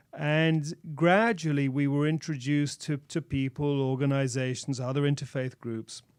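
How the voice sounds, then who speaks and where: A man talks at a fairly high pitch with fairly even intonation and hardly any pauses. The recording is very clean, with a silent background. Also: moderate pace. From England. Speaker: religious minister. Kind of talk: radio interview. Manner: halting.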